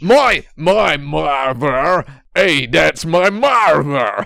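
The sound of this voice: A man's put-on character voice in a Brooklyn accent, fairly high in pitch, at a very slow pace. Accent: old Brooklyn.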